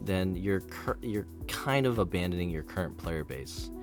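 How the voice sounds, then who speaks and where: With lively intonation, a man talks while music plays behind him. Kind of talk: opinion commentary on a video game. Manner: rambling, casual.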